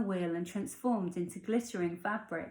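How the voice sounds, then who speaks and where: A woman's somewhat breathy voice with lively intonation and a dark, mellow tone. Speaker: author reading her own fairy tale. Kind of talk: fairy tale narration with character dialogue. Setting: at home, evening.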